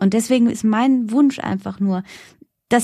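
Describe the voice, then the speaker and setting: A woman with a fairly high, somewhat breathy voice talks at a moderate pace. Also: very clean recording, silent background. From Germany, German-Iranian background. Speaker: journalist and presenter. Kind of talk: interview.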